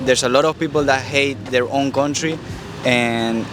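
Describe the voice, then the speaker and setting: Over music in the background, a man talks at a moderate pace and medium pitch with fairly even intonation. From Venezuela, Caracas. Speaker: YouTuber interviewer. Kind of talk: interview.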